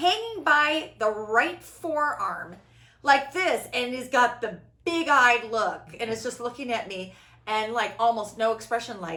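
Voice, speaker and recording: In a loud, high-pitched voice with a bright, sharp tone, a woman talks at a fairly slow pace with an animated tone and lively intonation. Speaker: spiritual podcast host. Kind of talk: casual chat. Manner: animated, big inflection.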